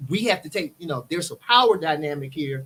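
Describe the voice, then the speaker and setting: This man has a normal speaking voice with a fairly high pitch. He moves at a fairly quick pace with lively intonation. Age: 40s. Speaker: mental health therapist. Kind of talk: podcast interview.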